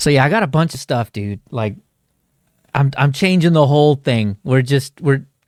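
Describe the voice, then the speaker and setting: Lively intonation and a moderate pace come through in a very clean recording with a silent background and a dry, close sound with no echo. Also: man, fairly high pitch for a man. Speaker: Linux livestream host. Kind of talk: casual livestream chat.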